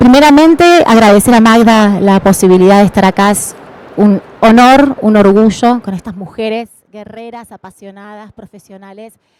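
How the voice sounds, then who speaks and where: Fairly high in pitch, a woman talks at a moderate pace with ordinary pitch variation and big swings in loudness. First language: Spanish (speaking Portuguese). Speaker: tourism representative. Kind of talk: panel speech.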